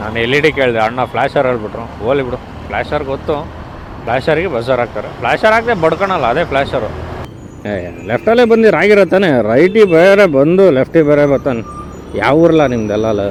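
Noticeable background noise surrounds this man. His fairly high voice makes very wide pitch swings. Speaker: scooter reviewer, vlogger. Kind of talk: casual vlog review.

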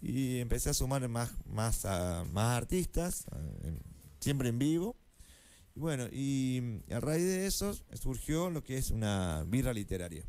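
A man at a very slow pace, with very wide pitch swings. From Argentina, Córdoba; Argentina. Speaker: library science student and poet; guest, poet. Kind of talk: interview; interview answer. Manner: halting, many fillers. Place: studio. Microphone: studio mic.

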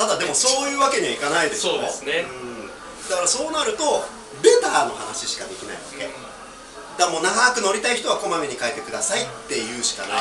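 A man rattles along at a very fast pace with music in the background. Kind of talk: casual explanatory chat. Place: shop. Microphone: camera far.

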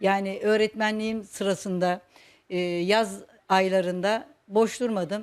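At a very slow pace with long, frequent pauses, a woman speaks at medium pitch with fairly even intonation. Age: 60s. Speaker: retired teacher and folk dance instructor. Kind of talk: personal interview monologue. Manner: hesitant, with frequent fillers.

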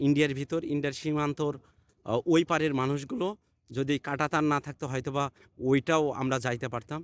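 In a very clean recording with a silent background, a man talks in a fairly high pitch with fairly even intonation. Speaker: travel vlogger. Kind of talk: vlog narration and street interviews. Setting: outdoors at the border.

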